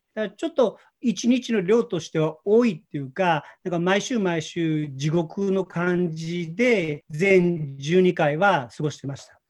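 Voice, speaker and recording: At a fairly slow pace with hardly any pauses, a man speaks at a high pitch with ordinary pitch variation and big swings in loudness. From Japan, Osaka. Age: 50s. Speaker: former banker presenting an AI learning project. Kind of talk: presentation on video call. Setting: video call.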